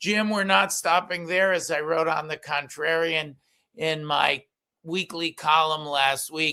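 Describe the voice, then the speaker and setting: Over a silent background in a very clean recording, a man with a fairly high pitch and a bright, sharp tone talks at a fairly slow pace with fairly even intonation. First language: Yiddish. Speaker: political commentator and columnist. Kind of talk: political talk show discussion. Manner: halting, many fillers.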